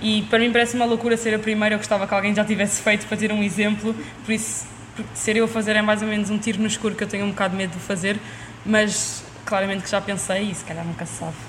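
A woman's fairly high-pitched voice, very fast and monotone with flat intonation, amid noticeable background noise and audible room echo. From Lisbon, Portugal. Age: young. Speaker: university student and table tennis athlete. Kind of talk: casual interview.

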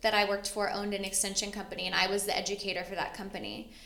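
A woman speaks at a medium pitch with a bright, sharp tone.

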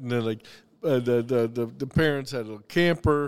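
A man at a moderate pace with fairly even intonation, music playing in the background. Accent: American. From US South, the Carolinas. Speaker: chef and restaurateur. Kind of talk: casual chat.

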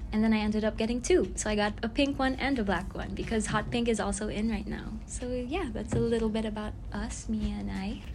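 Amid audible room echo, a woman talks at a fairly quick pace with hardly any pauses. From Philippines. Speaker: fashion brand owner and student. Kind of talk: casual chat.

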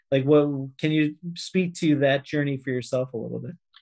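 A man speaks in a normal speaking voice. His pitch is fairly high. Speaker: podcast host. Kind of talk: interview.

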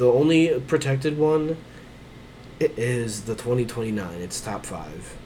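A man at medium pitch, very slow pace, lively intonation and big swings in loudness, over noticeable background noise. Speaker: basketball podcast co-host. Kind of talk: casual chat. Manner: animated.

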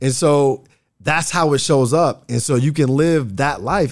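A man's fairly high voice with an American accent, ordinary pitch variation and an ordinary speaking voice. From Nebraska, Bellevue (Omaha suburb). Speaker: trauma healing coach. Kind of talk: casual interview conversation. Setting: studio.

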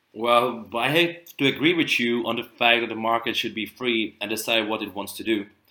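A man with a Czech accent speaks at a moderate pace with hardly any pauses. His medium pitch shows ordinary pitch variation. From Czech Republic. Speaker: student podcast co-host. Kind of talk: prepared discussion, partly read.

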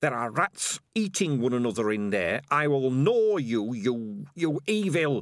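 Putting on a character voice, a man speaks at medium pitch and a fairly slow pace, with a hissing quality. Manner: hissing, furious.

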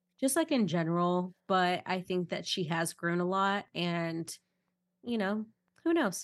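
Using an unremarkable speaking voice, a woman talks fairly slowly at a medium pitch with ordinary pitch variation. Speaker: podcast co-host. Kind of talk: casual chat. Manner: joking, playful.

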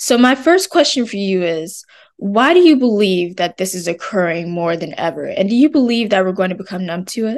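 A woman speaks at a fairly quick pace in a medium pitch, with lively intonation. It is an ordinary speaking voice, heard against a quiet background. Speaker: student interviewer. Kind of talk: interview, intro narration.

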